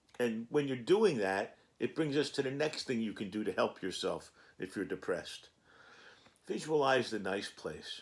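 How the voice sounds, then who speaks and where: With lively intonation and a moderate pace, this man has an unremarkable speaking voice pitched in the medium range. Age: 60s. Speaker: cannabis vlogger. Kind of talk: casual vlog monologue.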